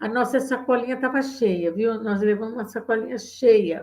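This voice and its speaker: A woman speaks in a fairly high pitch with ordinary pitch variation. Her voice is somewhat breathy. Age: 70s. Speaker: feminist activist. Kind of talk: oral history interview. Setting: video call.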